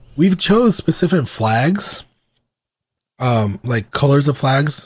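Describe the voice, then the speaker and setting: A man with an American accent swings his pitch very widely in a very clean recording with a silent background. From US South (Georgia). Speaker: podcast co-host. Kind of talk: casual chat. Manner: casual, filler-heavy.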